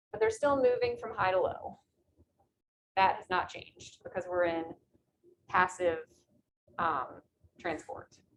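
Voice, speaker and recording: Over light background noise, a woman talks at a fairly slow pace with lively intonation, big swings in loudness and long, frequent pauses. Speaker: biology instructor; biology lecturer. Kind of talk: lecture. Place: classroom.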